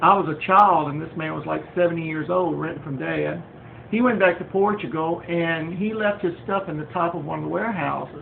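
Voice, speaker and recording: Speech comes at a fairly quick pace against noticeable background noise. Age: 60s. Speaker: home craftsman and former welder. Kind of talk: home video tutorial introduction. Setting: home kitchen, filmed on phone. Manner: hesitant, many fillers. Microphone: phone recording, not high quality.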